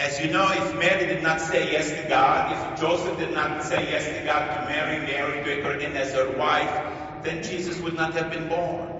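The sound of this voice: Clear background noise and strong room echo surround speech at a moderate pace with fairly even intonation and few pauses. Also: man, fairly high pitch for a man.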